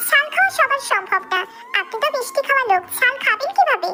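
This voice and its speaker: A woman's squeaky, put-on character voice at an extremely high pitch, with lively intonation, a moderate pace and music in the background. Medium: audio drama. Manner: sharp, indignant.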